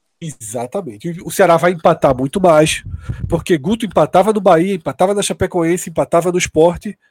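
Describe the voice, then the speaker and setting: Here a man talks at a fairly quick pace in a high pitch with ordinary pitch variation. The sound is dry and close, with no echo. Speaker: sports podcast panelist. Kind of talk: casual sports analysis.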